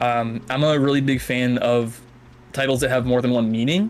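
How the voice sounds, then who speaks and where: Noticeable background noise runs behind a man speaking with an American accent. His pitch is medium with ordinary variation, at a moderate pace. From Massachusetts, US. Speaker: author. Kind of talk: interview on live stream. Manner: hesitant, many fillers.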